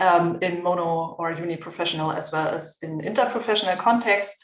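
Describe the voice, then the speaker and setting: A woman with a German accent speaks at a moderate pace and fairly low pitch, amid noticeable background noise and audible room echo. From Germany. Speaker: physiotherapist and health education researcher. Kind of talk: panel discussion.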